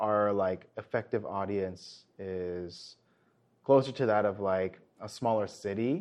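A man with an American accent speaks in an unremarkable speaking voice, fairly low in pitch, at a fairly slow pace with fairly even intonation. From United States. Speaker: improv theater director. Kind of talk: interview.

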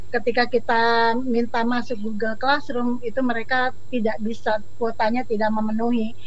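Noticeable background noise sits behind a woman with a fairly high pitch. Her loudness stays very even, and her intonation is monotone and flat. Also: moderate pace, hardly any pauses. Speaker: school counselor. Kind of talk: panel discussion. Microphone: connection breaking up at times.

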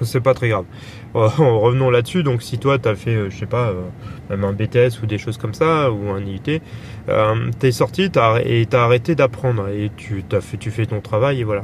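Against noticeable background noise, a man talks at a fairly slow pace with a medium pitch and ordinary pitch variation. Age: 30s. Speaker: podcaster. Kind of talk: casual monologue. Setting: in a car. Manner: halting.

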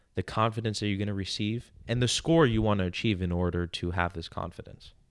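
With an American accent, a man talks at a fairly quick pace in an animated tone, his fairly low pitch showing ordinary variation. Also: very clean recording, silent background. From New York. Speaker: podcast host, confidence coach. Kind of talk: casual chat.

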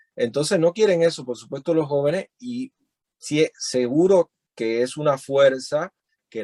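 An ordinary speaking voice, with ordinary pitch variation, comes through in a dry, close sound with no echo. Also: man. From Cuba (Cienfuegos, later Havana). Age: 30s. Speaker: musician and activist. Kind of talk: interview. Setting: video call.

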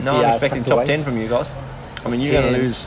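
Very fast talk from a man at medium pitch, fairly even intonation, noticeable background noise. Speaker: podcast co-host.

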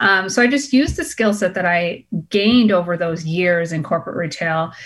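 With an American accent and an ordinary speaking voice, a woman talks at a fairly quick pace, her pitch fairly low and its variation ordinary. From Boston, US. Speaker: entrepreneur, clothing brand founder. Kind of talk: interview.

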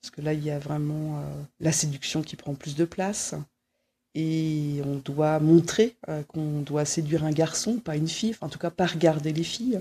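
A woman's somewhat breathy voice with a very deep, low pitch, ordinary pitch variation, big swings in loudness and a fairly slow pace. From Brittany, Quimper. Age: 40s. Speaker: interviewee. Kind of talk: personal testimony. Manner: halting, many fillers.

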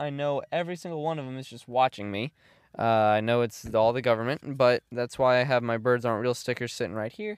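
A man at medium pitch, lively intonation and a fairly quick pace, on a very clean recording with a silent background. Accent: American. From eastern North Carolina. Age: 20s. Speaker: podcast host. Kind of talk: casual solo monologue. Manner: halting, many fillers and restarts; laid-back.

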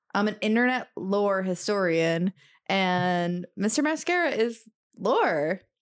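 A woman with an American accent speaks at a very slow pace in a medium pitch, her intonation lively and her loudness very even. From US Midwest. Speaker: podcast co-host. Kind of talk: casual chat.

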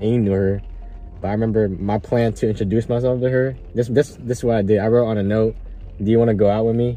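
Over music in the background, a man speaks very fast in a monotone, flat voice whose loudness stays very even. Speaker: podcast host. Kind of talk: casual chat. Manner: hesitant, with pauses.

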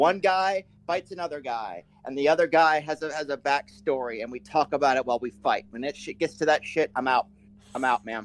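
With dry, close sound and no echo, a man talks at a fairly quick pace in an ordinary speaking voice, fairly high in pitch and with ordinary pitch variation. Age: 30s. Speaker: guest. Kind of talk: casual chat.

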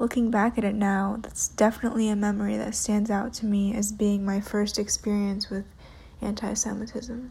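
Intonation stays flat and monotone as a woman speaks at a medium pitch. She has an American accent and a moderate pace. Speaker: listener sharing personal story. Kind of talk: prepared personal essay read aloud.

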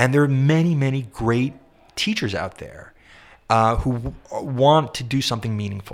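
With an ordinary speaking voice, a man talks at a moderate pace, medium in pitch with ordinary pitch variation. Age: 50s. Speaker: singer-songwriter and composer. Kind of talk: interview conversation. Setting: shared office space.

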